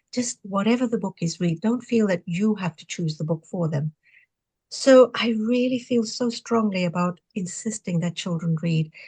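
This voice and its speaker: A woman speaks at a moderate pace in a dark, mellow, somewhat breathy tone. The sound is dry and close, with no echo. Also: medium pitch for a woman, ordinary pitch variation. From Zimbabwe (Rhodesia era), Indian family. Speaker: retired pharmacist and novelist. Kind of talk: interview conversation. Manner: animated.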